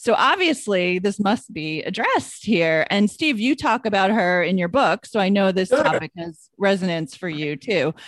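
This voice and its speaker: A woman with an American accent and a plain, everyday voice, medium pitch, lively intonation, a moderate pace and hardly any pauses. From New York. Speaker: podcast co-host. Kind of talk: casual chat.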